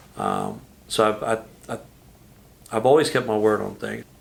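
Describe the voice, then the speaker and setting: At a moderate pace, a man talks with a Texan accent. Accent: Texan US Southern. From Texas, San Antonio. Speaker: business owner. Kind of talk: interview.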